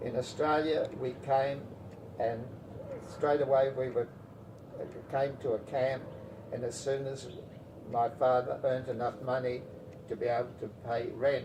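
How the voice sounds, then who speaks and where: A man's medium-pitched voice, monotone and flat, at a fairly slow pace with long, frequent pauses and noticeable background noise. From Latvia. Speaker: war refugee telling life story. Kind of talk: oral history interview. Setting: at home. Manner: halting, many restarts and fillers.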